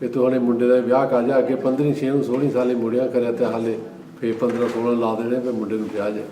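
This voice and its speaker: A man talks at a medium pitch in a flat, monotone way. Audible room echo and noticeable background noise come through too. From Punjab, India (Jalandhar district). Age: 70s. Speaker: immigrant elder interviewee. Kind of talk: oral history interview. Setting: gurdwara.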